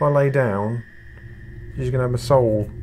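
Audible room echo surrounds a man at medium pitch. His tone is slightly mellow and his intonation fairly even.

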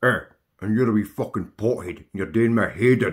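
This man uses a cartoonish character voice at a medium pitch and a moderate pace. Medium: puppet. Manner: irritated.

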